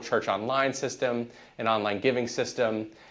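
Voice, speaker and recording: A man with an ordinary speaking voice keeps fairly even intonation at a moderate pace. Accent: American. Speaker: church tech company founder. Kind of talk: podcast interview.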